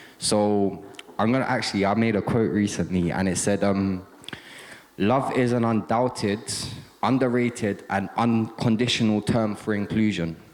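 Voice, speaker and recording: A man talks at a moderate pace with fairly even intonation and very even loudness. He has an ordinary speaking voice, fairly low in pitch. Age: young. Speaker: lived experience speaker, grew up in care. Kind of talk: casual talk to an audience.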